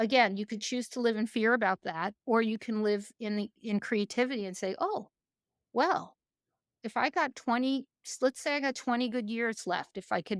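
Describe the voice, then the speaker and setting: Recorded very cleanly against a silent background, the dry, close sound free of echo, a woman talks at a moderate pace with a fairly high pitch. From New York. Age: 60s. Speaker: executive leadership coach. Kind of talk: interview conversation. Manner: halting, many fillers.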